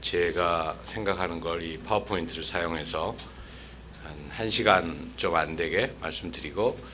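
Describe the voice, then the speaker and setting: Amid audible room echo, a man with a very deep, low pitch talks at a fairly slow pace with ordinary pitch variation. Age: 60s. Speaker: former diplomat, lecturer. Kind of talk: lecture. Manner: measured, with fillers.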